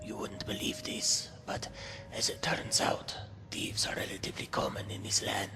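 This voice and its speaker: In a put-on character voice, a man whispers hoarsely at a moderate pace. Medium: machinima. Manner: refers to himself in third person.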